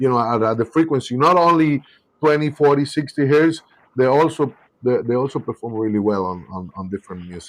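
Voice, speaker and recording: A man with a South American accent at medium pitch, fairly quick in pace, with lively intonation and big swings in loudness. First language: Spanish. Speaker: car audio company representative. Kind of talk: live podcast chat.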